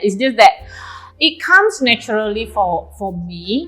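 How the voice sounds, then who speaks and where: A woman with an Indonesian accent speaks at a medium pitch and a fairly slow pace. Her intonation is lively, and there is noticeable background noise. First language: Javanese. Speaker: nutrition club owner. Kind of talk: casual chat. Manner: hesitant.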